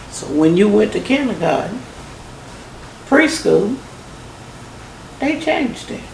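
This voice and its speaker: Against noticeable background noise, a woman with fairly high pitch speaks with very wide pitch swings and long, frequent pauses. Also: big swings in loudness. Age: old. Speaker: grandmother. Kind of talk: interview answer.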